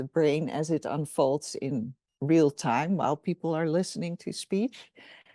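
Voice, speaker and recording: Over a quiet background, a woman with a Dutch accent speaks at a moderate pace in a dark, mellow tone and fairly low pitch. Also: dry, close sound with no echo. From Netherlands. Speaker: professor. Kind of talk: interview.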